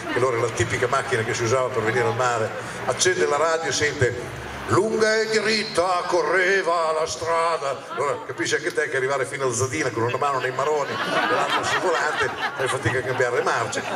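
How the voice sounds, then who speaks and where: A man rattles along at a very fast pace while noticeable background noise continues. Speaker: comedian. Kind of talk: comedy stand-up routine. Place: stage. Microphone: handheld.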